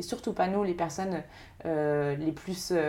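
A woman's fairly low voice, fairly even in intonation, at a moderate pace. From western France, Maine-et-Loire. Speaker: social entrepreneur. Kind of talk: interview.

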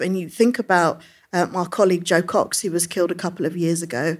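Speaking at a fairly quick pace with a London accent, the voice comes through on a very clean recording with a silent background. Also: woman. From London, England (Brixton Hill). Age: young. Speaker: politician. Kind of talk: live interview before audience. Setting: stage with audience.

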